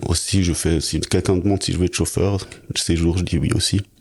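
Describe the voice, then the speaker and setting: Fairly quick and somewhat breathy, a man speaks in a very deep, low pitch with monotone, flat intonation. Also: long, frequent pauses, very even loudness. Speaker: film production assistant. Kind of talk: interview testimony. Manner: halting.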